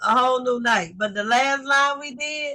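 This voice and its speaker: A woman in a Southern US accent, bright and sharp in tone, at a fairly slow pace with ordinary pitch variation. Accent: Southern, country. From US South, Lake Charles Louisiana. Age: 40s. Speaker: livestream host. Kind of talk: casual chat. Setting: livestream.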